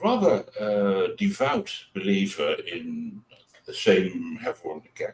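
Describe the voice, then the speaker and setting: A man with a Dutch accent, very slow in pace, with big swings in loudness. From Netherlands. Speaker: atheist show co-host. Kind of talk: casual interview chat.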